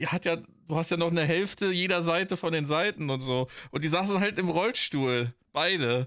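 Over a quiet background, a man with a high pitch speaks at a moderate pace, his loudness very even and his pitch varying in an ordinary way. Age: 40s. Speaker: podcast co-host, streamer. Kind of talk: casual chat. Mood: relaxed, joking. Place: home room.

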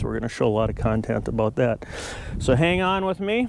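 The recording of a man is dry with no echo, with light background noise behind him. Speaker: farm owner vlogger. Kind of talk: casual vlog chat. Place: farm machine.

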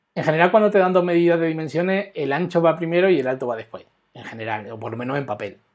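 Against a quiet background, a man talks at a very fast pace in a fairly high voice, with lively intonation and big swings in loudness. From Spain. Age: 40s. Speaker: web developer; web development instructor. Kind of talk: live coding tutorial; tutorial. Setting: live stream. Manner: halting, with many repetitions.

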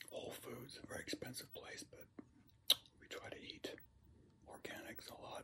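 A man whispers, with long, frequent pauses. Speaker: ASMR creator. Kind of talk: ASMR eating video, whispered talk. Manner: whispered. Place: home room. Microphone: phone near.

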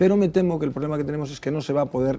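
The speaker is a man talking at a very fast pace. His pitch variation is ordinary. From Galicia, La Estrada; Galicia. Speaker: political commentator. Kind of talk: panel debate. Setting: TV studio. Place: studio. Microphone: lapel.

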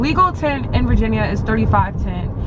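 A woman's fairly quick speech competes with loud background noise. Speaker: vlogger. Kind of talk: casual vlog chat. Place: car. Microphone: phone near.

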